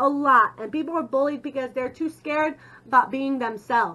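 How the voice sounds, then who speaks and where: The voice is raised and projected. Its tone is bright and sharp. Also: woman. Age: 30s. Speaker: vlogger. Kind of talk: vlog monologue. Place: home room. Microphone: webcam.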